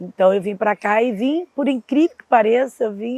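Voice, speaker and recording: A woman speaks in a plain, everyday voice with fairly high pitch. Her intonation is lively and her pace fairly slow. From Porto, Portugal. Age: 60s. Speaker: taxi driver. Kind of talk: interview.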